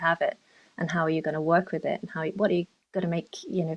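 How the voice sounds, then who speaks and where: Speaking very fast in a London accent, a woman keeps her pitch fairly low. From London, England. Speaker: dark sky park development officer. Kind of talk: podcast interview. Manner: hesitant, many fillers.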